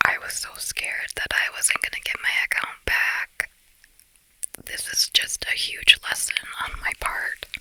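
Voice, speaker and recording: A woman whispers at a very slow pace, the sound dry and close with no echo, with noticeable background noise. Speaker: ASMR content creator. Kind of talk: casual talk to camera. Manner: chatty, conversational, chewing gum.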